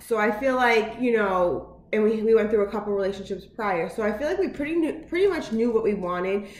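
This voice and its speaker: Loud and animated, a woman talks at a fairly quick pace with hardly any pauses, her fairly high pitch and lively intonation heard through audible room echo and noticeable background noise. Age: 30s. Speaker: vlogger. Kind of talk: casual vlog monologue. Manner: fast, with many filler words.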